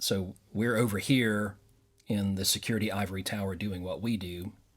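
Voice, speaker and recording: A man with a fairly low pitch talks with ordinary pitch variation while music plays in the background. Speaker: cybersecurity expert and security strategist. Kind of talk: interview answer.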